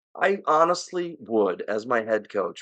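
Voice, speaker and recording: A man speaks with an American accent. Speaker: sports podcast host. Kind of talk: casual chat. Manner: animated.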